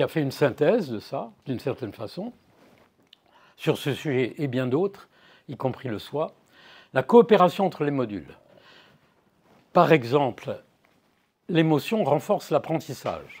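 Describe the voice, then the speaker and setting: Pausing long and often, a man with a fairly high pitch swings very widely up and down in his intonation. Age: 80s+. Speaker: neuroscientist professor. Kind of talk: lecture. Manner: halting.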